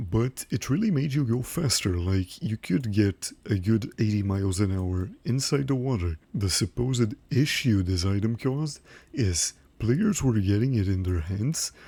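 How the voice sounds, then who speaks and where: In a very clean recording with a silent background, a man with a slight non-native accent speaks at a fairly slow pace. His fairly low, somewhat breathy voice has a dark, mellow tone and lively intonation. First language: not English. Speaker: gaming YouTuber. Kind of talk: commentary monologue. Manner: casual.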